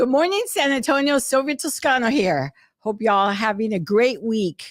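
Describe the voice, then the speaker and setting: A woman's fairly high voice at a moderate pace, with very wide swings in pitch. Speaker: insurance agent, live show co-host. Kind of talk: casual chat. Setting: live stream. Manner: mumbling.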